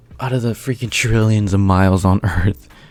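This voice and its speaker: A man speaks at a fairly low pitch with fairly even intonation while music plays in the background. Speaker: YouTuber reacting to a video. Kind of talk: reaction commentary. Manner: halting, many fillers.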